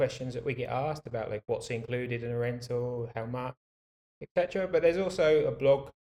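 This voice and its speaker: A man with a British accent speaks at a medium pitch and moderate pace, his tone dark and mellow. His intonation stays fairly even, and the sound is dry and close with no echo. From UK. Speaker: bike rental business owner. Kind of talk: interview.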